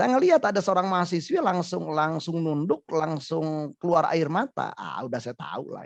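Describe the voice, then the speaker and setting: A man with a strong Sundanese accent speaks at a moderate pace. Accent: thick Sundanese. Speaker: psychologist. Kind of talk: webinar talk show interview. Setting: online webinar.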